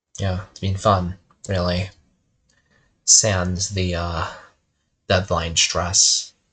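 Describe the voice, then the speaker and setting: A man speaks very slowly with a very deep, low pitch and a monotone, flat intonation, leaving long, frequent pauses. His loudness swings widely against a quiet background. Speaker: game developer and streamer. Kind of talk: casual monologue. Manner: rambling, halting.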